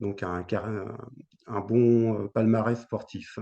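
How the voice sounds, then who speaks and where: Very slow in pace, the speech carries a dark, mellow tone. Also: man. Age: 60s. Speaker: retired para table tennis player. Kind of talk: interview. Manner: hesitant, many fillers.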